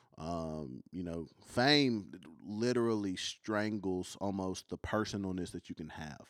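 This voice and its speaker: A man speaks in a very deep, low pitch with a Kentucky accent and lively intonation, at a fairly slow pace. The recording is very clean, with a silent background. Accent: country Kentucky. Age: 20s. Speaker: traveling youth minister and worship leader. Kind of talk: casual chat. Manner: halting, many ums.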